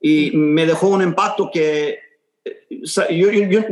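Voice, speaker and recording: A man's voice with ordinary pitch variation. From Houston, Texas. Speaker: muralist. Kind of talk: interview. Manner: halting, many repetitions.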